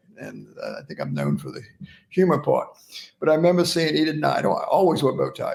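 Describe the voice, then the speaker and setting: A man with an American accent delivers his words fairly quickly. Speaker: oral pathology professor and speaker. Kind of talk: interview storytelling.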